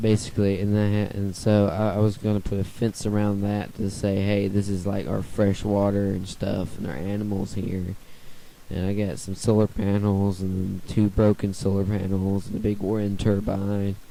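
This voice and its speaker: The voice belongs to a man with a fairly low pitch. His tone is dark and mellow, and his intonation is monotone and flat. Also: moderate pace. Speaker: gaming video creator. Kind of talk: gameplay walkthrough commentary. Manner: halting, many fillers.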